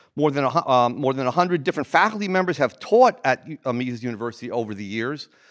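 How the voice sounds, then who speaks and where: A man with an American accent talks at a very fast pace and a medium pitch, with lively intonation and hardly any pauses. The recording is very clean with a silent background and a dry, close sound with no echo. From New Jersey. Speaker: economics professor, academic dean. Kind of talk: welcome speech. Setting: stage with audience. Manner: halting.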